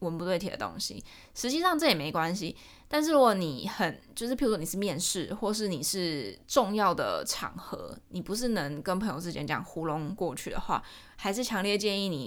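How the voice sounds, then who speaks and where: A woman uses a normal speaking voice, her medium pitch and lively intonation moving at a moderate pace. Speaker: podcast host. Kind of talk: casual solo talk.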